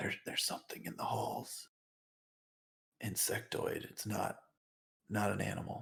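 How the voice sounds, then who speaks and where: In a put-on character voice, a man speaks quietly and raspily at a moderate pace, with long, frequent pauses. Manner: very low, hushed.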